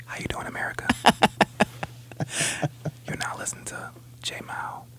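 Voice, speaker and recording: In a put-on character voice, the speaker whispers in a breathy, soothing tone. The pace is moderate. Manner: soothing, intimate whisper-like delivery.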